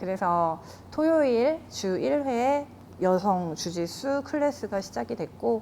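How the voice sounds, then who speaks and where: With very wide pitch swings, a woman talks at a fairly slow rate. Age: 40s. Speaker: jiu-jitsu gym owner and instructor. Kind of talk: interview.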